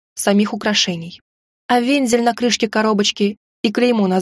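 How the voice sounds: Quiet background behind a natural reading voice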